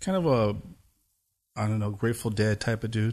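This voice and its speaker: Fairly quick, fairly even speech with a Southern Californian accent against a quiet background. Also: man. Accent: Southern California American. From US West Coast, Pomona, East Los Angeles. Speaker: techno producer and DJ. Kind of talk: casual interview chat.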